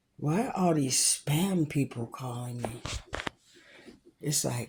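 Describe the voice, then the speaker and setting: On a very clean recording with a silent background, a woman speaks with a very deep, low pitch, ordinary pitch variation and a somewhat breathy quality. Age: 60s. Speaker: vlogger. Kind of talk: casual chat. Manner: chatty, rambling pace.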